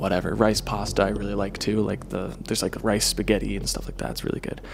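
A man speaks at a fairly low pitch. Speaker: video blogger. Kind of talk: casual vlog monologue. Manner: fast.

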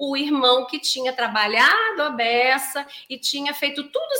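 The voice is raised and projected, with an animated tone and ordinary pitch variation. Noticeable background noise is present. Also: woman. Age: 40s. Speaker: psychoanalyst and couples therapist. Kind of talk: live stream talk to viewers. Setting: live stream.

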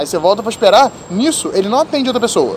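A man speaks with lively intonation. Noticeable background noise sits behind him. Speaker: podcast host. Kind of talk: casual chat.

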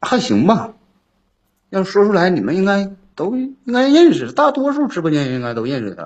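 Very wide pitch swings in a high male voice. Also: fairly quick pace. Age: 30s. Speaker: caller seeking relationship advice. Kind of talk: call-in advice conversation.

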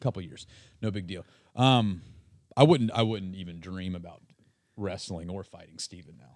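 Very deep, low-pitched man's voice at a moderate pace, with long, frequent pauses, big swings in loudness and ordinary pitch variation. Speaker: podcast host. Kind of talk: casual chat. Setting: studio.

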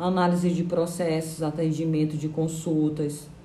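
Speaking at a very slow pace, a woman with a fairly low pitch keeps a monotone, flat intonation while audible room echo surrounds her. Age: 30s. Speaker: lawyer. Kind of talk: interview.

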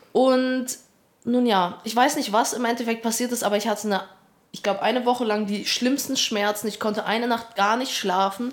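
An unremarkable speaking voice from a woman, fairly high in pitch, at a moderate pace with fairly even intonation. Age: 20s. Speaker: part-time student and YouTuber. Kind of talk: casual chat.

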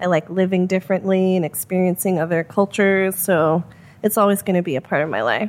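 In an American accent, a woman with a plain, everyday voice talks at a fairly quick pace and medium pitch with fairly even intonation, in a very clean recording with a silent background. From US Midwest, Chicago. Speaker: screenwriter. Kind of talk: casual interview.

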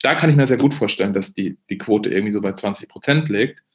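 Very fast speech from a man at medium pitch. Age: 40s. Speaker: journalist, former foreign correspondent. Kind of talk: podcast interview. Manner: halting, many restarts and fillers.

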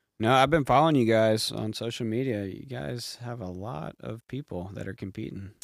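In a plain, everyday voice, a man at a medium pitch speaks at a moderate pace with hardly any pauses, lively intonation and big swings in loudness, on a very clean recording with a silent background. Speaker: podcast host. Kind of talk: casual comedic sports chat interview.

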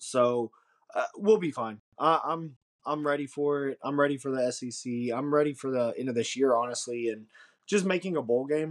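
A man talks at a moderate pace in an unremarkable speaking voice. His pitch is fairly high, with ordinary variation. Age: 30s. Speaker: podcast co-host. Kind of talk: casual chat.

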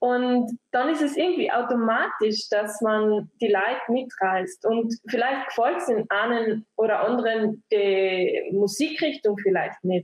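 A woman's fairly high voice with lively intonation, very even loudness, a very slow pace and hardly any pauses. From Austria, East Tyrol. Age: 20s. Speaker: musician. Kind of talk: group discussion. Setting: video call.

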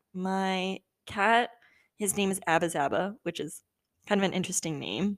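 Speaking in a Californian accent, a woman uses an animated tone at a moderate pace and medium pitch, with long, frequent pauses and a dry, close sound with no echo. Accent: Californian American English. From Southern California. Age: 20s. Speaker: podcast host. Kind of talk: casual monologue.

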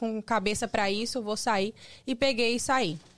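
In a very clean recording with a silent background, a woman with an unremarkable speaking voice talks at a fairly slow pace, using a fairly high pitch and fairly even intonation. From Espírito Santo, Brazil. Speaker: fashion model. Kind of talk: casual interview chat.

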